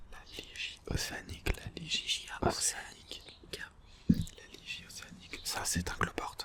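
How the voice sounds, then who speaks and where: Whispering at a very slow pace, a man swings widely in loudness. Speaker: ASMR content creator. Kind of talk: ASMR whispered relaxation video. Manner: repetitive whispering of species names.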